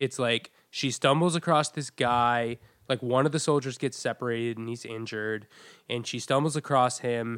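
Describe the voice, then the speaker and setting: The recording is very clean with a silent background. A man speaks at a moderate pace and a medium pitch. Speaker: podcast host and musician. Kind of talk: casual chat. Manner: halting.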